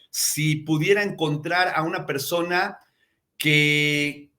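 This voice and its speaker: A man with a fairly high pitch and a bright, sharp tone. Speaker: podcast host. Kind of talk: live show host introduction. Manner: effusive, eloquent.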